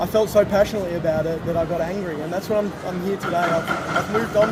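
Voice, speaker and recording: Someone with an Australian accent speaks at a fairly quick pace with fairly even intonation, amid audible room echo and noticeable background noise. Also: man. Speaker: street protester. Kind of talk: casual interview. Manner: loud.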